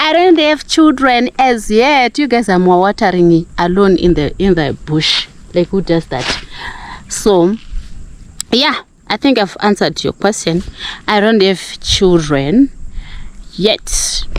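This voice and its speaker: The speaker's pitch swings very widely at a fairly slow pace, broken by long, frequent pauses. Noticeable background noise runs throughout. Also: woman, medium pitch for a woman. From Zimbabwe, Gokwe (Mashonaland). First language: Ndebele and Shona. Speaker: village life vlogger. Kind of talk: casual Q&A vlog. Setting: outdoors. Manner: animated.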